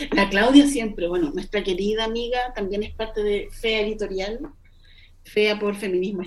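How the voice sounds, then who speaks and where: The pitch varies in an ordinary way. The speech comes with a Chilean accent. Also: woman. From Chile, Melipilla. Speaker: poet and editor. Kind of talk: casual interview. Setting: video call. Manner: slow, thoughtful.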